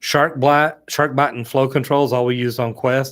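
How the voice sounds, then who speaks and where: A man with an American accent speaks at a moderate pace and medium pitch. His intonation is monotone and flat on a very clean recording with a silent background. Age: 50s. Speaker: plumber and online plumbing educator. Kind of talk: live-stream chat reading viewer comments. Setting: studio. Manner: casual, conversational.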